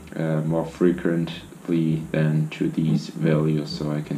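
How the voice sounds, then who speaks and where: Audible room echo surrounds a man's very deep, low voice. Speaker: drone racing pilot, video creator. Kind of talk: tutorial. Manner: casual, halting with fillers.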